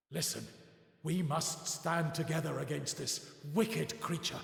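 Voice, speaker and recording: A man puts on a character voice at a fairly high pitch, with ordinary pitch variation and a moderate pace. A clear echo follows his words. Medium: video game. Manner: solemn, dignified.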